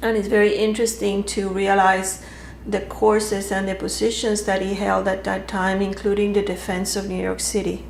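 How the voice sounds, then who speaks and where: A woman's medium-pitched, monotone delivery at a moderate pace, with audible room echo and noticeable background noise. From Cuba, Havana. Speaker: interviewee, daughter of a Cuban general. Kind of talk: interview. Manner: hesitant, many fillers.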